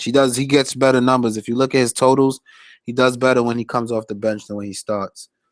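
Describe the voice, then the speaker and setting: At a fairly quick pace, a man with a West Indian accent talks at medium pitch in a monotone, flat way, recorded very cleanly with a silent background and a dry, close sound with no echo. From Flatbush, Brooklyn, New York, West Indian family. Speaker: fantasy sports analyst streamer. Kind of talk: live stream chat analysis. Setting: live stream reading chat. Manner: casual, hesitant with fillers.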